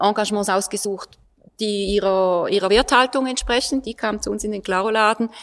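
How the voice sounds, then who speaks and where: Recorded very cleanly against a silent background, with a dry, close sound and no echo, a woman with an ordinary speaking voice talks at a moderate pace, her fairly high pitch following a fairly even intonation. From eastern Switzerland. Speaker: art historian and local resident. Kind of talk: panel discussion.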